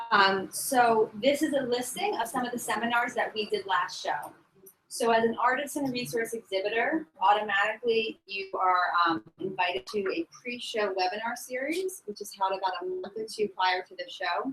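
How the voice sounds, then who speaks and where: Her voice is fairly high-pitched, and this woman's intonation is lively. Her loudness swings widely. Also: hardly any pauses. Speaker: trade show representative. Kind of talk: conference presentation. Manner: fast.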